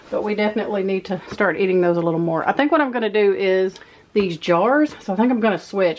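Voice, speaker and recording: Here a woman talks in a Texas accent. Her pitch is medium, with ordinary variation. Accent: Southern US (Texas). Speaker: homemaker vlogger. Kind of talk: casual vlog narration. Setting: pantry at home.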